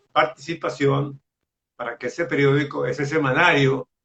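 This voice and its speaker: A male voice, fairly high in pitch, with ordinary pitch variation. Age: 80s+. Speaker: journalist. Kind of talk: interview.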